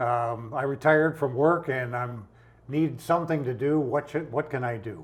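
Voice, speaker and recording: There's a somewhat breathy quality to this voice. Its pace is moderate. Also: man. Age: 80s+. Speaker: indie filmmaker and self-published author. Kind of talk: interview. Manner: halting.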